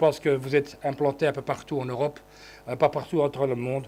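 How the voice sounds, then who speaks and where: Speaking at a fairly quick pace, a man uses a fairly high pitch with monotone, flat intonation. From Belgium (Brussels, Flemish). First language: Dutch (speaking French). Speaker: politician. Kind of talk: conference speech. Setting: conference hall with audience. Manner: halting with many fillers.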